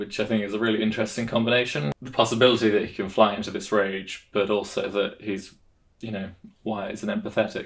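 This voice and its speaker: A man talks at a very fast pace with a fairly low pitch, fairly even intonation and big swings in loudness. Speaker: tabletop roleplay player and video host. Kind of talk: casual vlog monologue. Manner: monotone.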